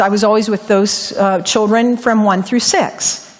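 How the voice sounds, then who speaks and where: Over noticeable background noise, a woman with an American accent talks at a moderate pace, her fairly high pitch carried on fairly even intonation. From Ohio, US Midwest. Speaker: lay preacher. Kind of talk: sermon with personal testimony. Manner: occasional stumbles and repetitions.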